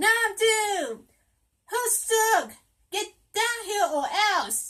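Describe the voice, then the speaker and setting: Shouting at a very slow pace, a woman puts on a squeaky character voice at an extremely high pitch with ordinary pitch variation. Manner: booming, yelling.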